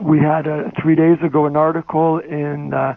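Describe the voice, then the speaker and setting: A man talks over noticeable background noise. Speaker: journalist and magazine editor. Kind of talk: conference talk. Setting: phone call. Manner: soft-spoken; hesitant. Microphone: phone line played on stage, too quiet.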